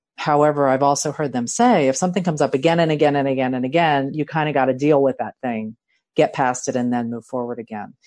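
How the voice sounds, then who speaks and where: In a Philadelphia accent, a woman with a very deep, low voice talks at a very fast pace with ordinary pitch variation, in a dry, close sound with no echo over a quiet background. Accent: Philadelphia American. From Philadelphia, US. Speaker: life coach, new co-host. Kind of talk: casual conversation.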